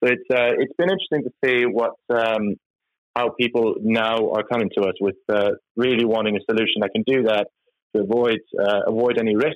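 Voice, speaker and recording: A man in a Norwegian accent talks at a moderate pace with fairly even intonation and very even loudness. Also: medium pitch for a man. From Norway. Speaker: tech company executive. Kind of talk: interview. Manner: halting.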